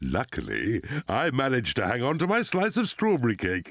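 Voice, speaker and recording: In a cartoonish character voice of medium pitch, a man talks at a fairly quick pace on a very clean recording with a silent background. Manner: jovial, chuckling.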